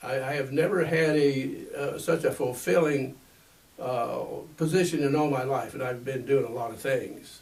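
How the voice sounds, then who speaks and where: Noticeable background noise and audible room echo surround a man speaking at a moderate pace with a fairly high pitch and fairly even intonation. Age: 80s+. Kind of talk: interview. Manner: halting, many fillers and repeats.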